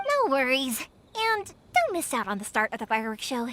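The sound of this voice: Putting on a character voice, a woman speaks high and fairly bright at a moderate pace, with very wide pitch swings.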